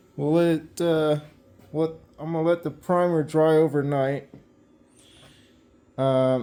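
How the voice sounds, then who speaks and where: Mumbling at a very slow pace, a man speaks in a dark, mellow tone with fairly even intonation. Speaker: car restoration hobbyist. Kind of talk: workshop vlog. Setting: cold garage shop. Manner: halting. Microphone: muffled by face mask.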